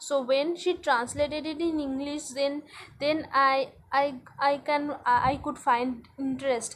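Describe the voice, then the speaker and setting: A woman speaks with a Bengali accent at a high pitch. Her pace is fairly slow and her intonation monotone and flat. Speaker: English language learner vlogger. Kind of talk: spoken practice monologue. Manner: halting, many fillers and repetitions.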